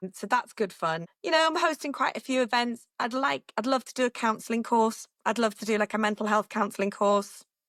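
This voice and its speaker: In a northern English accent, the speech runs at a fairly quick pace with lively intonation, hardly any pauses and a dry, close sound with no echo. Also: woman, fairly high pitch for a woman. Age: 50s. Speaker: radio presenter. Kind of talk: casual chat.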